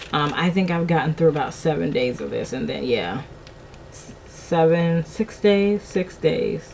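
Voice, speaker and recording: Against noticeable background noise, a woman speaks at a fairly slow pace, her loudness swinging widely. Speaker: vlogger. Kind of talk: casual vlog chat.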